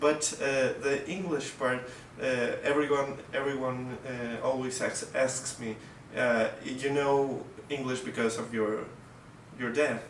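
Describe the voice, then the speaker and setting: A man at a medium pitch with a Russian accent, very slow pace, long and frequent pauses, fairly even intonation, audible room echo and noticeable background noise. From Mexico. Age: 20s. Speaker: violinist. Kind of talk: casual interview. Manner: halting, many fillers and restarts.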